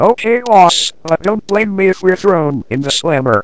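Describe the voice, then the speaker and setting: Someone speaks in a put-on character voice at a moderate pace and a middle pitch. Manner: whiny, worried.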